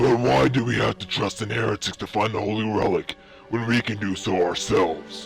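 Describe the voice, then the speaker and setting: Over clear music in the background, a man uses a put-on character voice at a fairly low pitch. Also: fairly quick pace. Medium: machinima. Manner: formal, proud.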